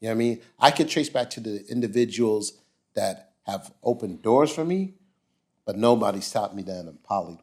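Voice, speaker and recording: With lively intonation, a man speaks at a moderate pace and medium pitch. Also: very clean recording, silent background. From New York, Queens. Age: 50s. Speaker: entrepreneur and mentor. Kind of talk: podcast interview. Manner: animated.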